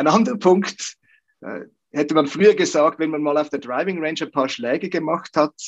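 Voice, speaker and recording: A plain, everyday voice moves at a moderate pace in a dry, close sound with no echo. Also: man. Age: 50s. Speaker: golf coach. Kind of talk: interview.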